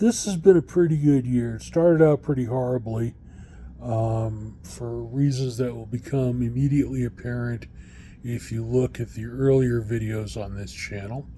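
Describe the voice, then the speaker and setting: Somewhat breathy, a man with a dark, mellow tone and medium pitch speaks with ordinary pitch variation, big swings in loudness and long, frequent pauses. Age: 60s. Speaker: vlogger. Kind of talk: casual video diary. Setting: outdoors. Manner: halting, many fillers.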